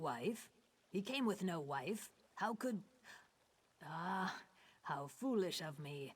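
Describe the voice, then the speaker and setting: A put-on character voice at a middle pitch moves at a very slow pace. Long pauses break it up often. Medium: video game. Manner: measured, grave.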